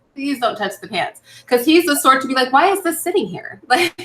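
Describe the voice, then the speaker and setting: Over music in the background, a woman with an American accent speaks at a moderate pace in a high pitch. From San Francisco, US West Coast. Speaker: online talk show host. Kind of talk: casual live stream chat.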